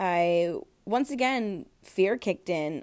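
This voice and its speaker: A woman speaks at medium pitch with an American accent. The recording is very clean, with a silent background. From California, Central Valley (Tracy). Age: 20s. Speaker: hairstylist and podcast host. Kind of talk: casual personal monologue.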